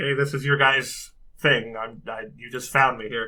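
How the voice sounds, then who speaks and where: Put-on character voice from a man, raspy, medium in pitch, at a moderate pace. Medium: actual play. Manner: halting, awkward with the language.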